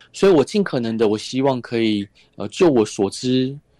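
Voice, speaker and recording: A man speaks at a medium pitch with a dark, mellow tone. The sound is dry and close with no echo, over a quiet background. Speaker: author and radio host. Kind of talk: interview.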